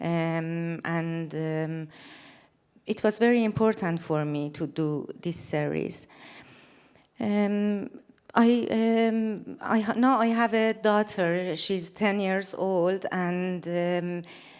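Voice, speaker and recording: With a Persian accent, a woman speaks at a very slow pace. Her pitch sits in the medium range with ordinary variation. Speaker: photographer. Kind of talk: stage presentation. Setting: stage with large audience. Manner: halting, many fillers.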